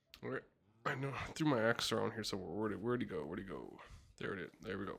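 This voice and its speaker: Delivered at a very fast pace, the speech has vocal fry and very wide pitch swings. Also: man, fairly low pitch for a man. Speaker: gaming video creator. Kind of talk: gameplay commentary. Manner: soft-spoken; even, calm pace.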